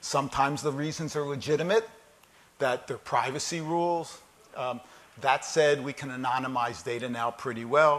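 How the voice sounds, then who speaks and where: A man with a US East Coast accent speaks at a fairly high pitch. His pace is moderate, with ordinary pitch variation. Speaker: keynote speaker on data analytics. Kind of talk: conference keynote talk. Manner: conversational, many fillers and repetitions.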